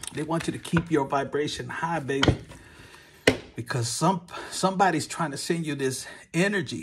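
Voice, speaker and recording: Over noticeable background noise, a man with vocal fry speaks at a moderate pace with ordinary pitch variation. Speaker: tarot reader. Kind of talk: casual tarot reading chat. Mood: warm, animated. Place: home room. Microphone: phone near.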